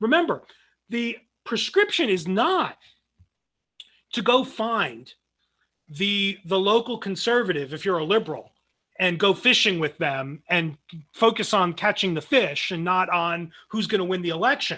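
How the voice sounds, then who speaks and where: With a New Jersey accent, a man speaks in a raised, projected voice at a high pitch, with lively intonation and a bright, sharp tone. Long, frequent pauses break it up against a quiet background. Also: fairly slow pace. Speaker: philosophy professor. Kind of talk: lecture. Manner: many fillers and restarts.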